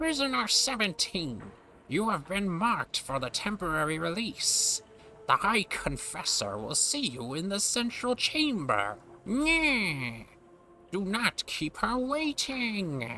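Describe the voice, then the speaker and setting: At a fairly slow pace and a fairly high pitch, the speaker puts on a character voice amid clear background noise. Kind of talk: formal, officious. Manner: stiff announcing.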